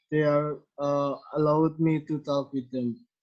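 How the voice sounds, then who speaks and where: A man with an Indonesian accent and a fairly high pitch. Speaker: podcast host. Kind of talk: casual interview. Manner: halting.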